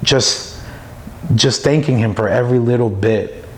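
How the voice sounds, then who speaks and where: Over noticeable background noise, a man with an American accent speaks fairly slowly at a medium pitch with ordinary pitch variation. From New York City (Brooklyn). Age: 30s. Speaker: church member. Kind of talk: testimony. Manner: halting, many fillers.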